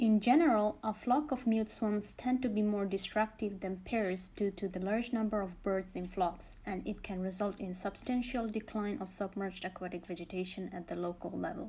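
A somewhat breathy woman's voice of medium pitch, dark and mellow in tone, with ordinary pitch variation and a moderate pace. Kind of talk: scripted nature documentary narration, measured and informative. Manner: formal, even-paced, impersonal and factual; measured, steady delivery of statistics and species facts.

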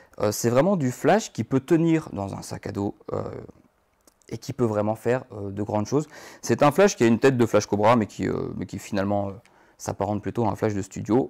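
Over a quiet background, a man with a north-eastern French accent speaks at medium pitch with lively intonation. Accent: Moselle (north-eastern French). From Moselle, north-eastern France. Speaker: photographer; photographer teacher. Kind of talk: live workshop tutorial. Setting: photo studio. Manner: hesitant, many fillers. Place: studio.

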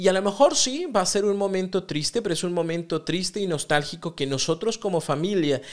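Here a man with a high voice speaks at a moderate pace. His pitch varies in an ordinary way over a quiet background. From Mexico. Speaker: psychotherapist podcast host. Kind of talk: solo podcast monologue on self-help. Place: studio. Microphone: studio mic.

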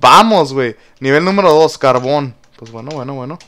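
A man with a Mexican accent, speaking at a fairly slow pace. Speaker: gaming youtuber. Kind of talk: gameplay commentary. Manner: animated.

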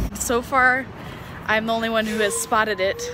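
There is noticeable background noise behind a woman's voice. The sound is dry, with no echo. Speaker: vlogger. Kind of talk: casual vlog chat. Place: street. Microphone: phone near.

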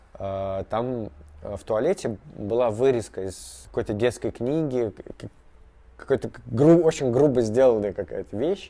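Very slow speech from a man, dark and mellow in tone, with lively intonation and long, frequent pauses. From Moscow, Russia; Russia. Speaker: artist. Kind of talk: interview; interview answer. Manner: halting, many fillers. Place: workshop.

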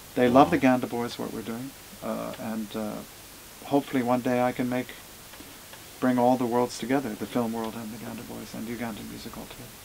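Against light background noise, a man with an American accent talks at a very fast pace in a flat monotone, with long, frequent pauses and big swings in loudness. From USA. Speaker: music producer and musician; interviewee. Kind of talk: interview. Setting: recording studio. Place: studio.

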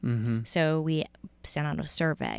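Her pitch varies in an ordinary way as the woman speaks at a moderate pace. The sound is dry, with no echo. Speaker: podcast co-host. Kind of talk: podcast conversation. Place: studio. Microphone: studio mic.

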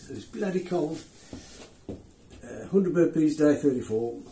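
Audible room echo surrounds a man talking at a fairly slow pace. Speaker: fitness vlogger. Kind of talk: casual vlog chat. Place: garage. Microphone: camera far.

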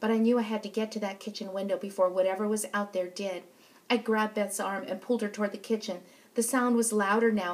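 A natural reading voice with fairly even intonation.

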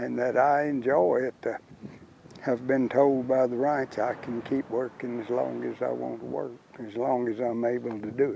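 Noticeable background noise sits behind a man with a Texan accent. He speaks at a medium pitch and moderate pace in a monotone, flat intonation. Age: 80s+. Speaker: cowboy. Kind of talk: interview answer.

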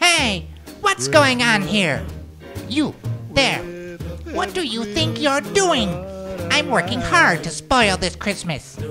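Clear music plays in the background behind a put-on character voice. The pace is fairly slow. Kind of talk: comic overacting. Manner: bossy, scheming, villainous.

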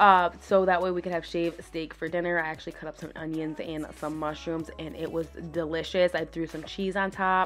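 A woman's fairly low voice, quick-paced and flat in a monotone, with hardly any pauses and music in the background. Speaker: home vlogger. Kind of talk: casual vlog chat. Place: home room.

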